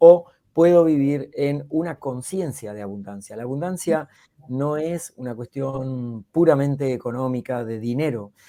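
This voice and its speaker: This man talks at a fairly slow pace with a Rioplatense accent, a dark, mellow tone, medium pitch, ordinary pitch variation and big swings in loudness. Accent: Argentine Spanish (rioplatense, voseo). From Argentina. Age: 60s. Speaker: public speaking coach and speaker. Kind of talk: podcast interview.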